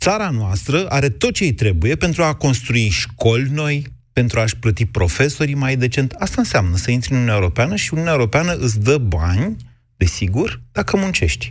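A man speaks at a fairly quick pace and a medium pitch. His voice is somewhat breathy, with very wide pitch swings. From southwestern Romania. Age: 40s. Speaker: radio host. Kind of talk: radio debate show. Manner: argumentative.

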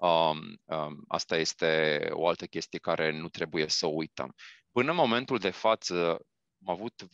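A man speaks very slowly with lively intonation. The sound is dry and close, with no echo. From Romania. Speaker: vaccine research scientist. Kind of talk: interview. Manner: halting.

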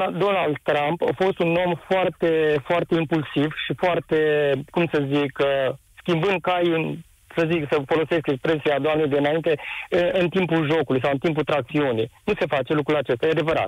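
The speech moves at a moderate pace, with fairly even intonation and very even loudness. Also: man, fairly high pitch for a man. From Romania, Timișoara area. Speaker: caller, small business owner. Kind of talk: live radio call-in.

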